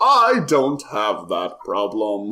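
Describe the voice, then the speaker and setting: A man speaks in a put-on character voice. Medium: actual play. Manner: slow, formal, unhurried.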